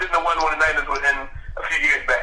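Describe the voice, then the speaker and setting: Noticeable background noise and audible room echo around a man talking. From Philadelphia, US. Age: 20s. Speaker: stand-up comedian and podcast co-host. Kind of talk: casual chat. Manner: halting, many restarts.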